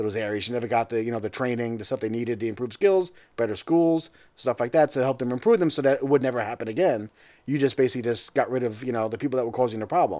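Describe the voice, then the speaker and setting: With an American accent and a dark, mellow tone, a man speaks at a very fast pace and medium pitch with ordinary pitch variation, on a very clean recording with a silent background. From Long Island, New York (Suffolk County). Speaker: political analyst. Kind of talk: casual chat.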